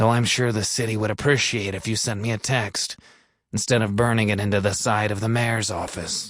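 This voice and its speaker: In a put-on character voice, a man rumbles at medium pitch with flat, monotone intonation and a fairly quick pace. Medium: read story. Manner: solemn, melodramatic.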